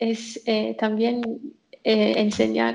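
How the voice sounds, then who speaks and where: A woman speaks with an English accent. Her pace is very slow. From England. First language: English (speaking Spanish). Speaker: software developer. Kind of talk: casual chat.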